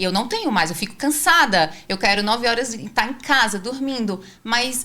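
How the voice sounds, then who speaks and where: In a northeastern Brazilian accent, a woman speaks at a high pitch with a bright, sharp tone. Her pace is moderate and her pitch varies in an ordinary way. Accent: northeastern Brazilian (Ceará). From Brazil, Ceará (Fortaleza). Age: 40s. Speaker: podcast host. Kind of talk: casual interview chat. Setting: studio in São Paulo.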